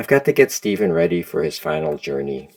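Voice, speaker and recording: A man puts on a raspy character voice pitched very deep and low. He talks at a fairly quick pace. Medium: read story. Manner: polite, measured.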